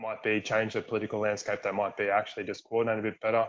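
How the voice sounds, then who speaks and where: A man's medium-pitched voice with an Australian accent and monotone, flat intonation. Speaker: workshop co-chair. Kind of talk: virtual workshop presentation. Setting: video call.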